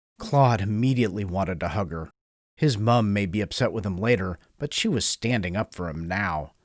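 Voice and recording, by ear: Someone is reading aloud in a natural voice with a quiet background.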